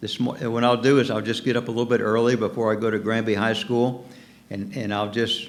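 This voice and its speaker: Fairly quick speech in an American accent, with audible room echo. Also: man. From US South, Norfolk, Virginia. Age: 70s. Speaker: pastor. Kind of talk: sermon. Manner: halting.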